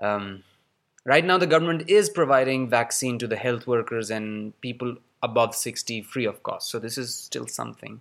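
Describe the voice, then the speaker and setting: At a moderate pace, a man talks with ordinary pitch variation. He has an ordinary speaking voice. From Pakistan, Karachi. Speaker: theatre artist. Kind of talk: recorded voice message.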